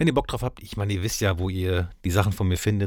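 A man's voice, very deep and low in pitch. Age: 40s. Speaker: DJ and podcast host. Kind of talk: casual interview. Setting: studio.

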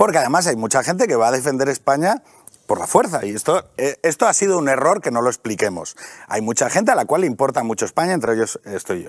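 Very fast speech with very wide pitch swings comes through with a dry, close sound and no echo. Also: man, fairly high pitch for a man. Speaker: podcaster and author. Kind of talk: casual talk show interview. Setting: TV studio.

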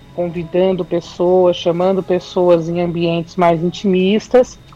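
At a fairly slow pace, a woman with a medium pitch speaks over noticeable background noise. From São Paulo city, Brazil. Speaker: MPB singer-songwriter. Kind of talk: radio interview.

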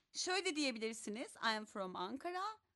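The woman's tone is bright and sharp. Her pitch moves up and down very widely. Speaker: English teacher. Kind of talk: online language class.

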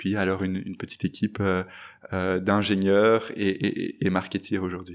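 This man speaks at a moderate pace in a fairly low pitch, his intonation monotone and flat. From Belgium, Brussels. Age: 20s. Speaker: fintech entrepreneur. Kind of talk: interview. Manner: halting, many fillers.

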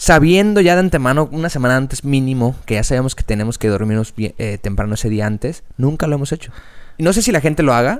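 A man talks at a very fast pace with a Mexican accent. His pitch is medium and his intonation lively. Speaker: podcast co-host. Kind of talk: casual chat.

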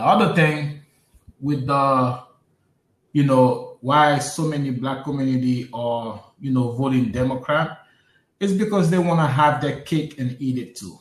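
A somewhat breathy man talks at a fairly slow pace. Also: fairly high pitch for a man, ordinary pitch variation. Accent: American. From US Northeast, Brooklyn, New York. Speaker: podcast co-host. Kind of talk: casual political discussion.

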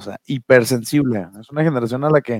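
With an ordinary speaking voice, a man talks at a fairly quick pace and medium pitch with ordinary pitch variation, the sound dry and close with no echo. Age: 20s. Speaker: podcast co-host, HR worker. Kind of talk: casual chat.

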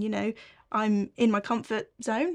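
This woman speaks with an English accent at a fairly high pitch. The recording is very clean, with a silent background. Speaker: co-host. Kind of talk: casual chat.

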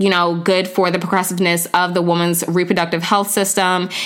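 A woman speaks at a medium pitch. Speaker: podcast host and founder. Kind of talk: casual interview podcast. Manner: upbeat, energetic.

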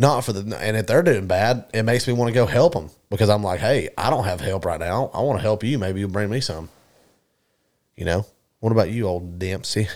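Fairly low in pitch and fairly quick in pace, a man uses a normal speaking voice with ordinary pitch variation in a very clean recording with a silent background. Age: 20s. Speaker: podcast host. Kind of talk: casual chat.

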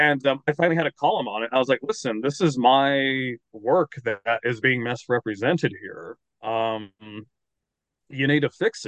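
Speaking with an American accent, a man with an unremarkable speaking voice and medium pitch talks at a moderate pace with ordinary pitch variation. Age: 30s. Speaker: novelist and paleoartist. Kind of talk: casual chat.

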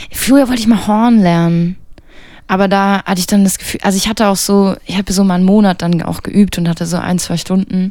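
Moving at a fairly quick pace, a woman speaks with a dark, mellow tone, a medium pitch and fairly even intonation. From Mecklenburg-Western Pomerania, near Schwerin. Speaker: jazz trumpeter. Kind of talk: casual interview.

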